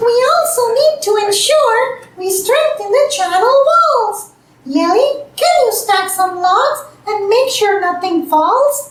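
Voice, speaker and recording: In a cartoonish character voice, the speaker squeaks at an extremely high pitch at a fairly slow pace, with slight echo. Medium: puppet show. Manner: businesslike.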